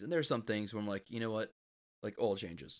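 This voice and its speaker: A man with an American accent talks at a fairly low pitch with fairly even intonation. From Texas. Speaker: podcast host, truck enthusiast. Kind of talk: casual solo talk.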